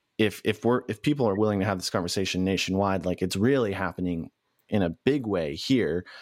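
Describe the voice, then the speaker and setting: A man speaks in a plain, everyday voice, fairly low-pitched and at a fairly quick pace, with ordinary pitch variation. The recording is very clean and dry, close-miked with no echo and a silent background. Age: 30s. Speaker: podcast host and newspaper editor. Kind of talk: casual chat; interview.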